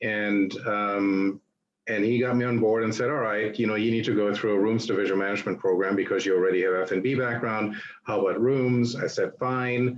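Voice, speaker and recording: With a German accent, a man talks at a fairly quick pace in a fairly low pitch, his intonation fairly even and his loudness very even, over audible room echo. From Germany (Berlin). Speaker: hotelier. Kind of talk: guest lecture.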